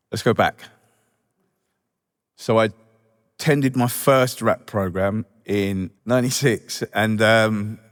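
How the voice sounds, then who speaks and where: Fairly even intonation and a Welsh accent mark this very slow delivery with long, frequent pauses. The recording is very clean with a silent background, its sound dry and close with no echo. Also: man, medium pitch for a man. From Wales. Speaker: recovery charity staff member, ex-offender. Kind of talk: recovery testimony speech. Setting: stage at reunion event with audience.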